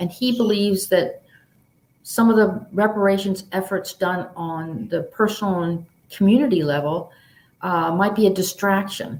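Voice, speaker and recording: In a normal speaking voice, a woman with an American accent talks at a moderate pace. She has a medium pitch and ordinary pitch variation. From Baltimore, US. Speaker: author. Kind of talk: panel discussion answer.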